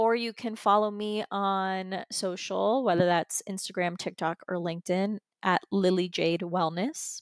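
A woman with a plain, everyday voice speaks at a fairly slow pace, with medium pitch and fairly even intonation. She hardly pauses, and the very clean recording is dry and close with no echo over a silent background. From US, Florida, Persian heritage. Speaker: holistic wellness coach. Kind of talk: casual interview.

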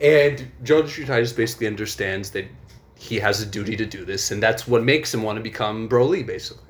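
A man races along at a very fast pace with noticeable background noise behind him. His pitch sits at a medium level and varies in an ordinary way. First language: not English. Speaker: podcast co-host. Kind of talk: casual chat, storytelling.

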